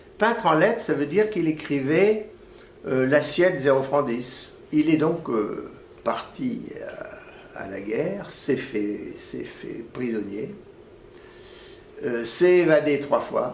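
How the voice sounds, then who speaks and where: Amid noticeable background noise and audible room echo, a man speaks very slowly at a fairly high pitch, with very wide pitch swings and long, frequent pauses. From France, Clermont-Ferrand (Auvergne). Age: 80s+. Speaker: retired orthopedic surgeon, professor. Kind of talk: interview, life story. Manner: halting, many repetitions and hesitations.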